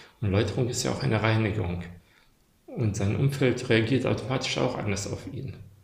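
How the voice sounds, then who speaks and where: Audible room echo surrounds a man speaking at a medium pitch and a moderate pace with ordinary pitch variation. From Germany, moved from Bosnia-Herzegovina as child. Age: 40s. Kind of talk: casual chat. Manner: halting.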